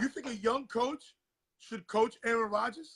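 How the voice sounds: A man speaks at an extremely high pitch with ordinary pitch variation. His tone is fairly bright, with a slightly husky edge. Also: fairly slow pace.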